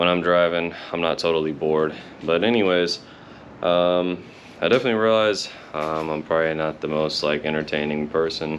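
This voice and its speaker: A man's very deep, low voice at a fairly quick pace, with fairly even intonation. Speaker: car hobbyist vlogger. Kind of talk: casual vlog. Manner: monotone; hesitant, many fillers.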